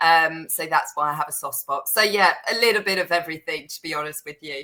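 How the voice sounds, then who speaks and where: A woman with a British accent speaks fairly quickly at a fairly low pitch. Her tone is bright and sharp, and her loudness swings widely. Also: ordinary pitch variation. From Netherlands, teenage years in the UK. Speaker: serviced apartment booking agency professional. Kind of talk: podcast interview.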